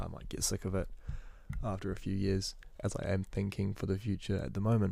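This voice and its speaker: Vocal fry marks this man's voice, his intonation fairly even. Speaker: university student vlogger. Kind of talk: casual monologue. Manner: fast; halting, with repetitions and fillers.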